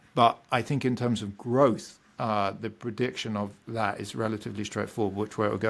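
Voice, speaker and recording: In a British accent, a man speaks with a fairly low pitch and fairly even intonation. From Britain. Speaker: economics professor. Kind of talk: podcast interview.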